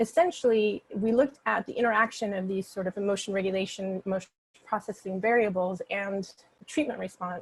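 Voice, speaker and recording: A woman's somewhat breathy, fairly high voice with ordinary pitch variation at a moderate pace, in a dry, close sound with no echo. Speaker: clinical psychologist presenting research. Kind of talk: research seminar talk. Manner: halting, many fillers.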